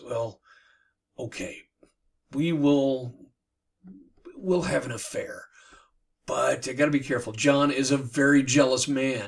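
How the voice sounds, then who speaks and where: In a put-on character voice, a raspy man speaks at medium pitch with fairly even intonation, a fairly slow pace and long, frequent pauses. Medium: read story.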